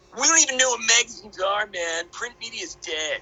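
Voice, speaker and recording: At a fairly quick pace, a put-on character voice speaks with a fairly high pitch. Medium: read story. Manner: laid-back, slangy.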